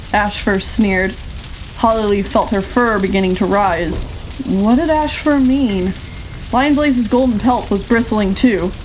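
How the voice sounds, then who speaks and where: A woman's fairly high voice at a fairly slow pace, very even in loudness, against noticeable background noise. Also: ordinary pitch variation. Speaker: audiobook narrator. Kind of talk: audiobook narration.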